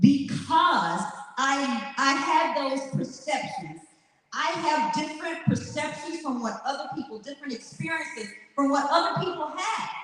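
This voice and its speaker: Loud and animated, a woman with an American accent speaks at a fairly slow pace in a high pitch, with audible room echo and noticeable background noise. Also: lively intonation. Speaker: motivational speaker. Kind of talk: motivational speech. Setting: stage with audience.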